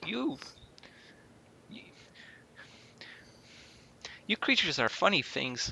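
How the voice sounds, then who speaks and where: Using a put-on character voice, a man speaks raspy and fairly high-pitched. He goes at a fairly slow pace with long, frequent pauses. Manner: playful impression.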